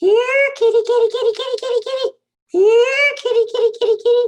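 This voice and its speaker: A squeaky, put-on character voice at an extremely high pitch runs along at a fairly quick pace. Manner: sickly sweet, menacing.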